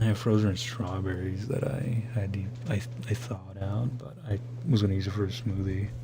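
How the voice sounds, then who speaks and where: A soft-spoken man mumbles at a fairly quick pace with fairly even intonation, with audible room echo and noticeable background noise. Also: fairly low pitch for a man. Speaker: vlogger talking to camera alone. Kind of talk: late-night solo ramble. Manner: mumbling.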